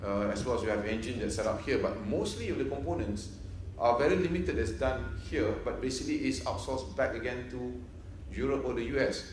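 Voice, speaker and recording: A man talks fairly quickly, with audible room echo and light background noise. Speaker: presenter. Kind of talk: conference presentation. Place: hall. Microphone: podium.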